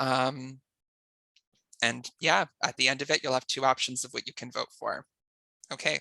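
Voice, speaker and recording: With vocal fry and a bright, sharp tone, a man at a medium pitch speaks at a moderate pace in a dry, close sound with no echo. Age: 30s. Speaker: online game show host. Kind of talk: explaining game rules.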